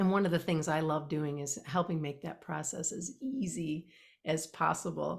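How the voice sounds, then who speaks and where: With a very deep, low voice and a somewhat breathy quality, a woman speaks at a moderate pace with ordinary pitch variation. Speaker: award-winning podcaster and podcast coach. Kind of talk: teaching, explaining podcast steps in an interview.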